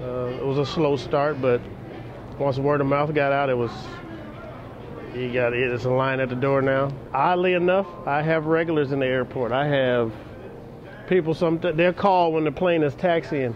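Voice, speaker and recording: In a room with audible echo and noticeable background noise, a man with an American accent speaks at a fairly high pitch and a moderate pace, leaving long, frequent pauses. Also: ordinary pitch variation. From US Pacific Northwest, Seattle. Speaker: chef. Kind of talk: interview. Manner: halting.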